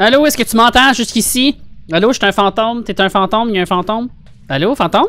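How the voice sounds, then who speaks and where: Very fast delivery in a Quebec accent, with very even loudness, a bright, sharp tone and ordinary pitch variation. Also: man, high pitch for a man. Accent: Québécois French. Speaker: gaming streamer. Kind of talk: casual gameplay chat. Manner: animated. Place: home room. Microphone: studio mic.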